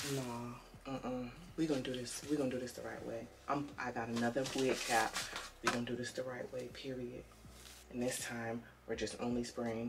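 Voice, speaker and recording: A woman with a very deep, low voice talks fairly quickly, with long, frequent pauses. Loud background noise is present. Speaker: beauty vlogger. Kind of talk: casual chat. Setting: home video recording. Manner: animated. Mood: relaxed, late-night chat. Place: home room. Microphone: camera far.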